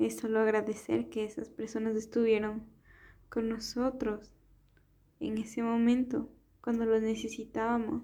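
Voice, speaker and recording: A woman with a fairly high pitch and a dark, mellow tone speaks at a fairly slow pace in a monotone, flat intonation, leaving long, frequent pauses. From Ecuador. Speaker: podcaster. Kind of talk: casual monologue.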